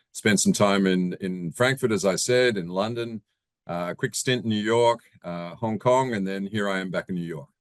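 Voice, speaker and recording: Over a quiet background, a man with fairly low pitch talks at a moderate pace with ordinary pitch variation. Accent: Australian. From Australia. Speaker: real estate investor. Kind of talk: interview. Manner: hesitant, many fillers.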